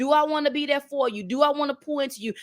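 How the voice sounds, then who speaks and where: In a Southern accent, a woman talks at a very fast pace in an animated, high-pitched voice, the sound dry and close with no echo. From North Carolina, US South. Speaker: motivational speaker. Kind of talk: motivational talk. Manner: animated, preacher-like repetition.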